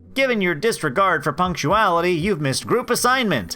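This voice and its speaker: A man in a put-on character voice talks at a fairly quick pace with a high pitch and lively intonation, music playing in the background. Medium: solo performance. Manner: condescending, sarcastic.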